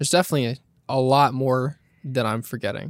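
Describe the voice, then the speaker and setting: In a very clean recording with a silent background and a dry, close sound with no echo, a man uses a normal speaking voice at medium pitch with fairly even intonation. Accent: American. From California, Monterey County. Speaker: video editor. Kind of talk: casual interview.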